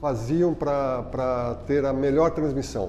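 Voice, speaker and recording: Speaking at a medium pitch, a man goes at a very slow pace. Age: 60s. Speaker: retired sports broadcast producer and journalist. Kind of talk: documentary interview testimony.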